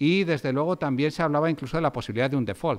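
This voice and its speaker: A man speaks at a very fast pace. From Spain. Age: 40s. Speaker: economics professor. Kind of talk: lecture. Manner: halting, many fillers. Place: hall. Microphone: podium.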